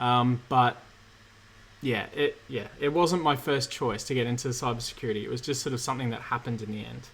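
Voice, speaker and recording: A man with an Australian accent, vocal fry, fairly even intonation, and a fairly quick pace. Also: medium pitch for a man. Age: 30s. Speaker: cybersecurity engineer and YouTuber. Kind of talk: live Q&A stream. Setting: livestream from home.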